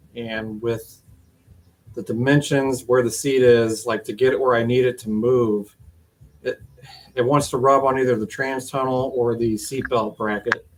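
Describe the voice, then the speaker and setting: The speaker mumbles at a moderate pace in a monotone, flat intonation. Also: man, medium pitch for a man. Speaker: Jeep hobbyist streamer. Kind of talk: casual live stream monologue. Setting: garage shop. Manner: mumbling.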